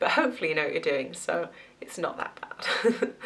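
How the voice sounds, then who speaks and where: A woman speaks with a slight Southwest English accent. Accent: slight southwest English twang. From southwest England, Gloucester. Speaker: nursing student vlogger. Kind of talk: casual vlog. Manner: chatty, filler-heavy.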